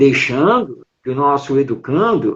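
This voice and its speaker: A man talks at a fairly slow pace. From Brazil, São Paulo city. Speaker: writer, educator and Spiritist speaker. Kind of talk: interview on a live stream talk. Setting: online live stream.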